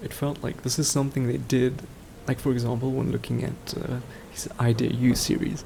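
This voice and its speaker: Against noticeable background noise, a soft-spoken man talks fairly quickly at a medium pitch, his intonation flat and monotone. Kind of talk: casual rambling talk, sleep aid. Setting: home microphone recording.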